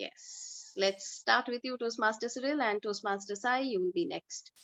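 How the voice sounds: The voice has a fairly bright tone, ordinary pitch variation and a moderate pace, recorded with a dry, close sound and no echo. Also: woman, fairly high pitch for a woman.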